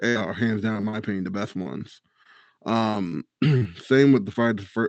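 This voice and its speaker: Against a quiet background, a man with a plain, everyday voice speaks at a medium pitch and moderate pace, with fairly even intonation. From US, Maryland (Eastern Shore). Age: 20s. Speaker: pro wrestler. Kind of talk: casual chat.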